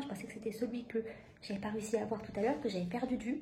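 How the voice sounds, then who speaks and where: Soft-spoken and very fast, a woman talks in a room with audible echo. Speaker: book vlogger and author. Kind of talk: casual vlog. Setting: at home, in bed. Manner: soft-spoken, bird sleeping; animated, swearing, rushed.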